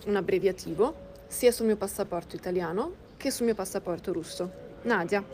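A woman's dark, mellow tone with vocal fry. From Milan, Italy. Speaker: podcast guest sharing personal story. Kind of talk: personal testimony.

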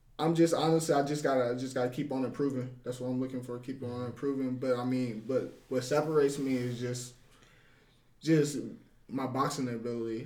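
The speaker keeps a fairly even intonation at a moderate pace, with audible room echo. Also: man. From Ohio, US. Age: 20s. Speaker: boxer. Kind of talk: casual interview. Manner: halting, many repetitions.

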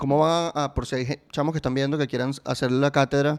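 In a very clean recording with a silent background, a man of medium pitch speaks at a very fast pace in a monotone, flat intonation. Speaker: podcast host. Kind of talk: casual chat.

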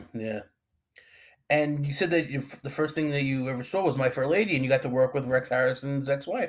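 A man with an American accent talks at a fairly quick pace in an unremarkable speaking voice, with ordinary pitch variation. The recording is very clean, with a silent background. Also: fairly high pitch for a man. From Long Island, New York. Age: 40s. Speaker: podcast host. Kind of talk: casual interview.

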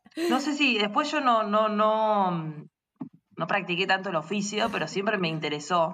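Fairly slow yet with hardly any pauses, a woman speaks at a medium pitch with a bright, sharp tone and lively intonation. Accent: Rioplatense. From Argentina, rural Buenos Aires province. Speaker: industrial designer and social entrepreneur. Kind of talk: interview.

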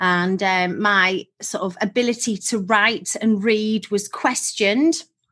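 A woman speaks at a very slow pace with hardly any pauses. Her medium pitch has ordinary variation and a bright, sharp tone. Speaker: hypnotherapist and college director. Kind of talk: casual interview chat. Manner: bubbly, positive.

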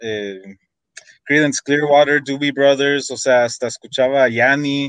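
At a very slow pace, a man with a fairly high pitch talks in fairly even intonation, the sound dry and close with no echo. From United States, Mexican-American. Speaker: metal drummer and songwriter. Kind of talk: casual interview chat.

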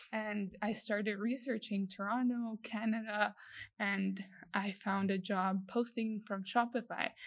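In a very clean recording with a silent background, a woman of medium pitch speaks somewhat breathily in a monotone, flat intonation at a fairly slow pace. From El Salvador. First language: Spanish. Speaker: industrial designer. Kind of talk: interview.

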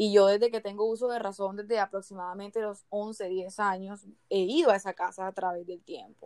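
Here a woman talks at a moderate pace in a medium pitch with fairly even intonation. She has a normal speaking voice. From Barranquilla, Colombian Caribbean coast. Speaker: podcast co-host. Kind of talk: casual chat with storytelling.

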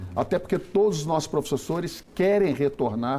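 Dark and mellow in tone, a man speaks at a moderate pace with lively intonation. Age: 50s. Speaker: education official. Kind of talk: interview. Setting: studio.

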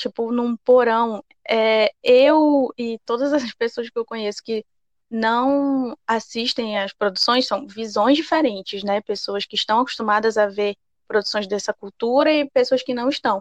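With a fairly high pitch and ordinary pitch variation, a woman speaks at a fairly slow pace. It is a normal speaking voice, dry and close with no echo. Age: 20s. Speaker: podcast co-host. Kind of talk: casual chat.

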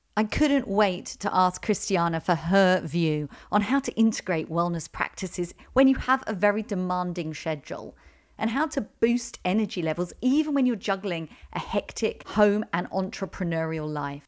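This woman talks at a moderate pace with lively intonation and a medium pitch. The recording is very clean, with a silent background. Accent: southern English. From London. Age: 40s. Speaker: podcast host, business coach. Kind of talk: podcast interview.

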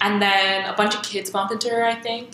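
Noticeable background noise and audible room echo surround a woman speaking at a moderate pace and medium pitch. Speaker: podcast co-host. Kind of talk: casual chat.

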